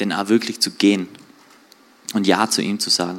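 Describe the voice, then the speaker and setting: A man's voice, flat and monotone. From Austria, Tyrol (Außerfern, Reutte area). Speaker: church guest giving testimony. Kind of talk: testimony interview. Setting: church livestream.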